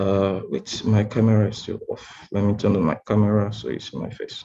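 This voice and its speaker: A man speaks at a fairly low pitch. His voice is somewhat breathy. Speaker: tech speaker. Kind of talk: lecture. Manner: fast.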